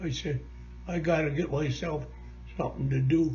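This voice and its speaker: There is music in the background and audible room echo as a man speaks. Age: 90s. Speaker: war veteran. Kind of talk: interview.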